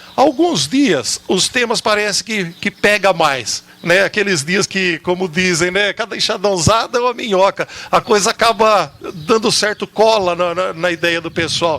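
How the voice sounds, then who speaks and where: In a dry, close sound with no echo, a man with a high pitch uses a raised, projected voice, speaking fairly slowly with ordinary pitch variation. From Jaú, São Paulo state, Brazil. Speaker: TV program host at a rehab community. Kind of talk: talk show discussion.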